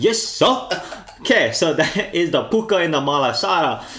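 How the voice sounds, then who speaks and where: A man talks at a fairly slow pace with very even loudness. Noticeable background noise sits behind him. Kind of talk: casual podcast conversation.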